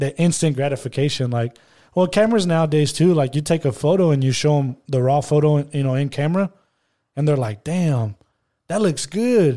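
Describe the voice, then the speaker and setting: Fairly quick speech from a man with a fairly high pitch, a dark, mellow tone and ordinary pitch variation, on a very clean recording with a silent background. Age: 20s. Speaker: photographer and restaurant worker. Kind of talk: casual podcast interview.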